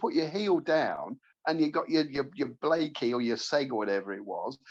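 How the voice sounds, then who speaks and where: A man with a southern English accent talks at a moderate pace. His pitch swings very widely. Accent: posher, southern-sounding English. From Leicestershire, England. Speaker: podcast co-host. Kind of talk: casual chat.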